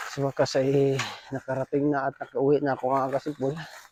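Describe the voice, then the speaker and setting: Over noticeable background noise, a man with fairly high pitch speaks at a moderate pace in a monotone, flat intonation. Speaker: vlogger. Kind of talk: casual vlog narration. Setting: outdoors, biking home.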